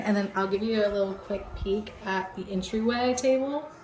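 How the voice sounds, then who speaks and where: With music in the background, a woman speaks at medium pitch and a moderate pace. Her intonation is lively. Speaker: vlogger and nursing student. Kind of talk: casual vlog. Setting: at home. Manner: animated.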